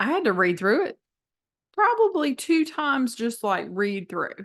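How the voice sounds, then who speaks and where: With a Southern US accent, a woman speaks in a lively intonation. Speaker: math teacher. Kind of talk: tutorial. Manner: casual, many fillers.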